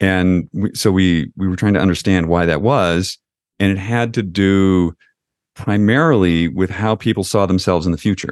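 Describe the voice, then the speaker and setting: A man with a very deep, low pitch speaks at a moderate pace. The sound is dry and close with no echo, and the background is quiet. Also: ordinary pitch variation, very even loudness. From Western New York. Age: 60s. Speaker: founder of an aging-focused company, podcaster. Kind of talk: interview.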